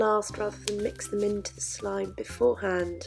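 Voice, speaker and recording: A woman's voice with music in the background. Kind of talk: casual product review to camera.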